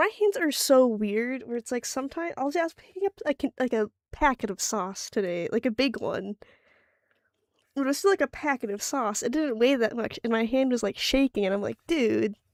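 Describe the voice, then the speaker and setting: In a very clean recording with a silent background and a dry, close sound with no echo, a woman speaks at a moderate pace in a high voice with lively intonation. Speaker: art streamer. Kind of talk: casual livestream chat while drawing. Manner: loud; halting, self-interrupting.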